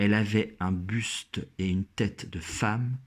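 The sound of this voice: The reading comes across in an unforced reading voice.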